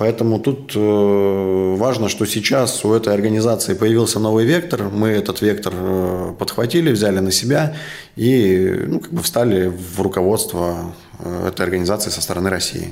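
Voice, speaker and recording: There is audible room echo and noticeable background noise as a man talks at a moderate pace in a fairly low voice with ordinary pitch variation. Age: young. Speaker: business association leader. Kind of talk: interview. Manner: calm.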